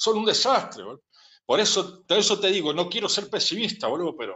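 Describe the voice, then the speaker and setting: In an Argentine accent, a man speaks at a fairly quick pace. His pitch shows ordinary variation. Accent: Rioplatense Argentine Spanish. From Buenos Aires, Argentina. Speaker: interviewee. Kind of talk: casual interview rant. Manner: animated.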